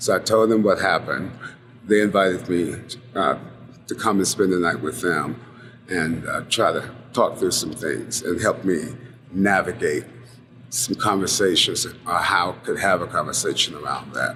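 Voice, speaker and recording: With an American accent, a man of fairly low pitch talks at a moderate pace with ordinary pitch variation and long, frequent pauses. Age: 60s. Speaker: oral history interviewee. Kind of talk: oral history interview. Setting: bar. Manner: halting, many fillers.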